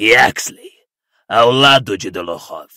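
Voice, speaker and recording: A man uses a put-on character voice, raspy and medium in pitch. He speaks at a fairly slow pace. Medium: read story. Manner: cold, imperious.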